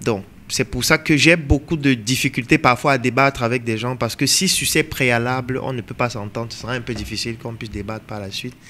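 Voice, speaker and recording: The tone is bright and sharp, with ordinary pitch variation and big swings in loudness. It moves at a fairly quick pace with hardly any pauses. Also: man, medium pitch for a man. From Cameroon. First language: African mother tongue (speaking French). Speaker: entrepreneur and coach. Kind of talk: interview discussion.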